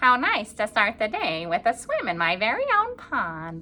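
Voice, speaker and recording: Moderately paced, in a put-on character voice. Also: woman, fairly high pitch for a woman. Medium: read story.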